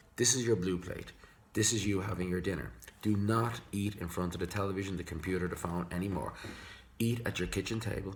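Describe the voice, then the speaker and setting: Fairly low in pitch and somewhat breathy, a man with an Irish accent speaks at a fairly quick pace with ordinary pitch variation. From Ireland. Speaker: psychologist. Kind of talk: tutorial. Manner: fast.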